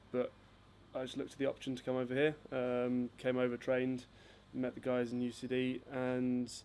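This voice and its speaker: At a moderate pace, a man delivers his words in a monotone, flat intonation at a medium pitch. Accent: English. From southern England, near Gatwick. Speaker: footballer and company founder. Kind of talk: casual interview chat.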